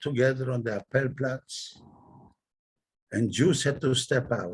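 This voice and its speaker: A man speaks at a medium pitch, somewhat breathy. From Poland. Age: 90s. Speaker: Holocaust survivor. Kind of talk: testimony.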